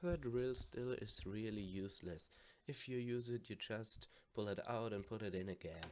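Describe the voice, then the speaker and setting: A quiet man with a German accent. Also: medium pitch for a man, ordinary pitch variation, moderate pace. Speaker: gamer. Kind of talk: casual game commentary.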